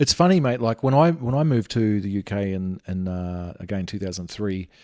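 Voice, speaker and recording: A man with an Australian accent speaks at a fairly low pitch, with lively intonation and a dark, mellow tone. The sound is dry and close with no echo, in a very clean recording with a silent background. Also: fairly quick pace. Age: 40s. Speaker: podcast host. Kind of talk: casual chat.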